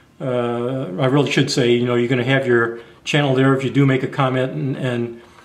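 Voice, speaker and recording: A man speaks at a fairly quick pace with a medium pitch. His intonation is fairly even, and audible room echo fills the recording. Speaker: YouTube camping and gear vlogger. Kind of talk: casual monologue vlog. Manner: halting, stammers sometimes.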